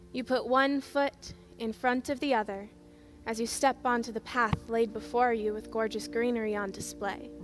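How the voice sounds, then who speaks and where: Music in the background behind a woman speaking at a fairly slow pace. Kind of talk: guided visualization. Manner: calm, soothing.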